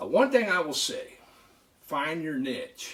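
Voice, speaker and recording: Loud and in a bright, sharp tone, a man speaks with an American accent. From northern California. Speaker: knife collector YouTuber. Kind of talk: casual vlog talk. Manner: halting.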